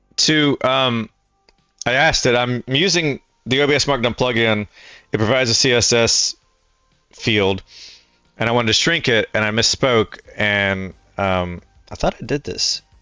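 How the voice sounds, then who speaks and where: A man speaks at a medium pitch and a moderate pace with ordinary pitch variation, leaving long, frequent pauses over music in the background. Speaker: streamer. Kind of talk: casual livestream tutorial talk. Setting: livestream with headset.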